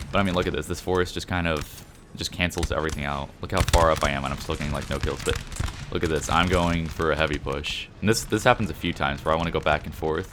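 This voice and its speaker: Over noticeable background noise, a man with a very deep, low voice speaks at a very fast pace with fairly even intonation. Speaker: gaming commentator. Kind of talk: gameplay commentary. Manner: casual.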